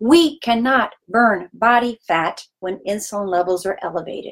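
A woman's fairly high-pitched voice comes out somewhat breathy. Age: 50s. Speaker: health coach. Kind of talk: educational monologue.

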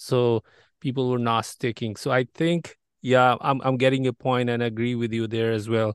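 A man with a non-native accent talks at a fairly slow pace in a medium pitch. His intonation is monotone and flat, with a dry, close sound and no echo. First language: not English. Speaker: podcast host. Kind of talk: interview.

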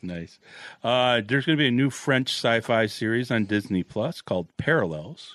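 Speaking at a moderate pace, a man with a plain, everyday voice keeps a medium pitch and lively intonation. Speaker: podcast host. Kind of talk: casual chat.

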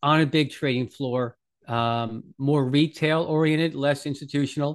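A man with an American accent has an ordinary speaking voice and a fairly high pitch. He speaks at a fairly slow pace with fairly even intonation against a quiet background. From New York area. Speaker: head of research at crypto investment firm. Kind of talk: interview.

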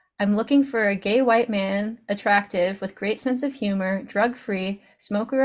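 A woman's somewhat breathy, medium-pitched voice at a moderate pace with ordinary pitch variation, in a very clean recording with a silent background. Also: hardly any pauses. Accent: American. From Baltimore, US. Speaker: podcast host. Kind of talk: casual interview chat.

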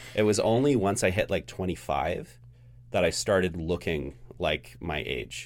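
Very deep and low, a man's voice carries vocal fry and very wide pitch swings at a fairly slow pace. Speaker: podcast producer and editor, first-time guest host. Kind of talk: casual chat. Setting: studio.

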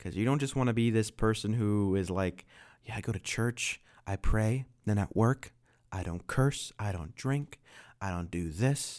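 A man with an unremarkable speaking voice, medium in pitch, at a moderate pace with lively intonation, in a very clean recording with a silent background. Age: 20s. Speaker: podcast co-host. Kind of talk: casual chat.

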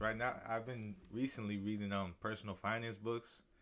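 A man's fairly low voice at a moderate pace over a quiet background. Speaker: rapper. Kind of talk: casual chat.

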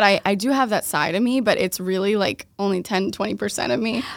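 Noticeable background noise behind a woman with an American accent, medium pitch, ordinary pitch variation and a fairly quick pace. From Boston area, Massachusetts. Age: 20s. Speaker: esthetician and skincare business owner. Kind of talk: casual interview chat.

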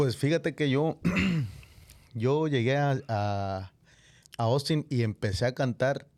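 A man talks very slowly at medium pitch with long, frequent pauses and ordinary pitch variation. His loudness stays very even in a very clean recording with a silent background. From Mexico. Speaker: singer-songwriter. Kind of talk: casual chat. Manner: casual, slangy.

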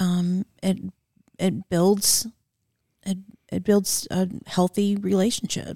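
Very slow and monotone, the voice has a dark, mellow tone, is somewhat breathy, pauses long and often, and sounds dry and close with no echo. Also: woman, medium pitch for a woman. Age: 40s. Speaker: podcast co-host, wife. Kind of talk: casual chat.

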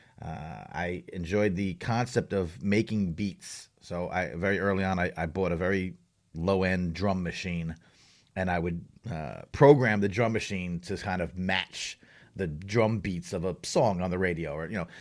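A New York accent with ordinary pitch variation on a very clean recording with a silent background. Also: man, very deep, low pitch for a man, moderate pace. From Long Island, New York. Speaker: journalist and hip-hop advocate. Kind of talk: interview conversation. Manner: halting, many fillers.

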